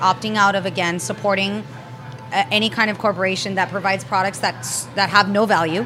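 With an American accent, a woman speaks at a fairly quick pace and medium pitch with lively intonation, noticeable background noise behind her. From Spain and Southern California. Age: 30s. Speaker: plant-based chef. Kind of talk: casual interview. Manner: animated.

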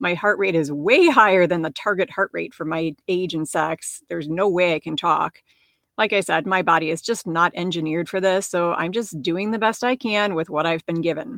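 A woman with an American accent has an unremarkable speaking voice, a fairly low pitch and ordinary pitch variation. She talks at a moderate pace, and the sound is dry and close with no echo. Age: 50s. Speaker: podcast host, physician and life coach. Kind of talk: solo podcast monologue.

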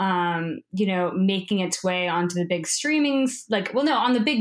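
Using a normal speaking voice, a woman talks at a moderate pace and medium pitch with ordinary pitch variation. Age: 30s. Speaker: documentary filmmaker. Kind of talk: interview.

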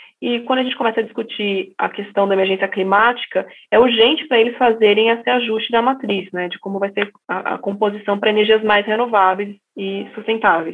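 A woman speaks fairly quickly with hardly any pauses, her pitch fairly high and her intonation fairly even. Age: 30s. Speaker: energy company executive. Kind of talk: interview. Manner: hesitant, many fillers.

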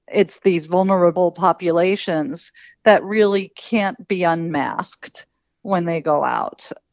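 A woman's fairly slow, fairly low-pitched speech in a plain, everyday voice. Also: fairly even intonation. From Queens, New York City. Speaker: nonprofit founder. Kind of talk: interview.

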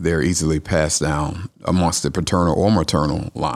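A man speaks with a Southern US accent. He keeps a moderate pace. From Atlanta, Georgia. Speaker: oncologist. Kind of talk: interview.

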